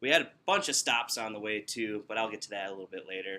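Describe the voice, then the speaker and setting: Very fast speech with a Wisconsin accent. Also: man. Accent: Upper Midwest (Wisconsin) American. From Wisconsin, Milwaukee. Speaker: student giving a speech. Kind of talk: descriptive speech to small audience. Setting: workplace, in front of coworkers. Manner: casual, conversational.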